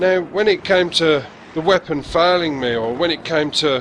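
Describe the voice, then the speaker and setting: A man's fairly high voice carries lively intonation at a moderate speed, with noticeable background noise present. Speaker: gaming commentator. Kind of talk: video game commentary.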